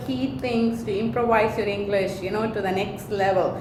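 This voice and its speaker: A woman with a Tamil accent talks at a fairly slow pace. Room echo is audible, and background noise is noticeable. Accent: Indian (Tamil) English. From India, Chennai (Tamil Nadu). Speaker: vlogger, hotel industry worker. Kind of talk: casual vlog advice talk.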